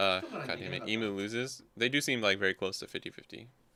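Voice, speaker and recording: A man with a medium-pitched voice races along at a very fast pace as noticeable background noise sounds behind him. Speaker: card game streamer. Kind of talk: casual chat. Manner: casual, conversational.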